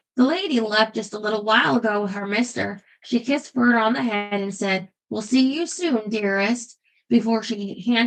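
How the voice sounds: Quiet background behind a natural reading voice.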